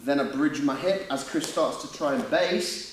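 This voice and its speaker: With a Yorkshire accent, a man speaks amid noticeable background noise and audible room echo. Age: 30s. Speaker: grappling instructor. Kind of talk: seminar instruction. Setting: gym.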